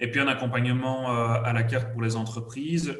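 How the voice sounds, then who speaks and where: In a Liège accent, a man talks at a moderate pace with medium pitch and fairly even intonation, and the room echo is audible. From Belgium, Liège area. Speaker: HR services company representative. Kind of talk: business presentation.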